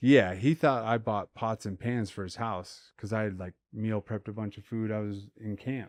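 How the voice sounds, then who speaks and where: Heard at a moderate pace, a man with a fairly low pitch and fairly even intonation uses a normal speaking voice, the sound dry and close with no echo over a quiet background. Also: hardly any pauses. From Colorado, US. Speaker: professional MMA fighter. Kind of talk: casual interview chat.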